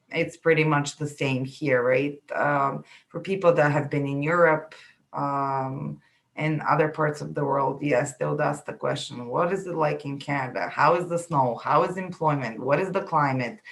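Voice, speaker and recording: A woman with a Bulgarian accent, very deep and low in pitch, at a moderate pace with fairly even intonation. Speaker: immigration consultant. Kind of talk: interview. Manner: halting.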